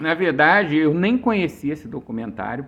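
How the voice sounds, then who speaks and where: Vocal fry runs through a man's speech at a moderate pace. The background is quiet. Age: 60s. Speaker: author. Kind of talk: casual chat. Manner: halting.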